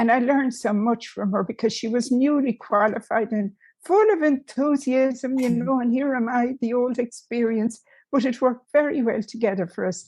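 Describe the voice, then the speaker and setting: The background is quiet as a woman speaks with an Irish accent. Her pitch is high, with ordinary variation. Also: moderate pace. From Ireland. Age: old. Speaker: music therapist, nun. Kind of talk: interview answer.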